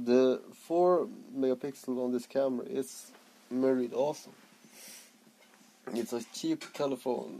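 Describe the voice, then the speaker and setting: A man with a Swedish accent talks at a very slow pace over light background noise. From Sweden, Skellefteå; Sweden. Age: 30s. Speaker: vaping vlogger. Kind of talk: casual vlog. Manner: halting, stuttering. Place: home room. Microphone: phone near.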